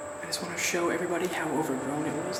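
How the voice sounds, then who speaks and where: A man whispers quietly, with audible room echo and noticeable background noise. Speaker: urban explorer vlogger. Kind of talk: walkthrough vlog narration. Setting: inside abandoned building. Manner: whispering.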